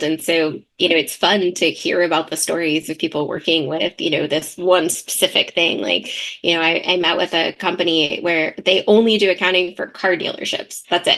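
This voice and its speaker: Loud and bright, this woman's voice has a sharp tone and a fairly low pitch. She keeps a moderate pace with hardly any pauses. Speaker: CPA firm owner. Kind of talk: podcast interview. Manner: animated.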